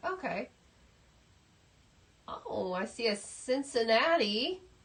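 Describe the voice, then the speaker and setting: Noticeable background noise surrounds a woman speaking. Her fairly high voice moves in very wide pitch swings. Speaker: craft instructor. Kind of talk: tutorial. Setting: livestream from craft room. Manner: casual. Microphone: laptop camera mic.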